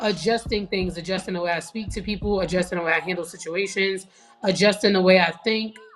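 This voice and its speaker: Music plays in the background. A woman speaks at a very fast pace. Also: medium pitch for a woman. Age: 30s. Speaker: TikTok creator. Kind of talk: casual chat. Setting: live stream.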